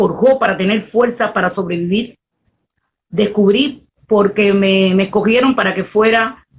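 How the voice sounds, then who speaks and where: The woman's pitch varies in an ordinary way, and her pace is fairly slow. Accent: Cuban. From Cuba. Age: 60s. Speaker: poet and Afro-Cuban priestess. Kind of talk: interview conversation.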